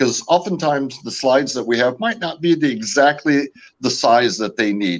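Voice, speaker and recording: A man with an American accent speaks at a medium pitch and a moderate pace, his intonation lively. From California, US. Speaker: founder of a camping gear company. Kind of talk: podcast interview. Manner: hesitant, many fillers.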